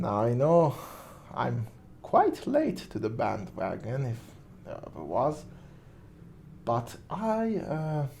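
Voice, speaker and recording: With music in the background and audible room echo, a man with a non-native accent talks very slowly at a fairly high pitch, using very wide pitch swings and long, frequent pauses. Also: big swings in loudness. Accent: non-native English, weird pronunciations. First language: not English. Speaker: movie reviewer, vlogger. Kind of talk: casual monologue, film commentary. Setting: at home during quarantine.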